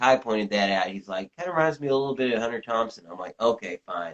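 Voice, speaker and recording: A man with a slight Southern US accent and lively intonation. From US South, Tennessee. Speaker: journalist and author. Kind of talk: interview. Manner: halting, many fillers and repetitions.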